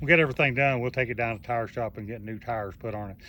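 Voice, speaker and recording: Speaking in a Southern US accent, a man uses a medium pitch with ordinary pitch variation. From US South. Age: 70s. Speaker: YouTuber. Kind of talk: casual vlog. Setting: outdoors. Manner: halting.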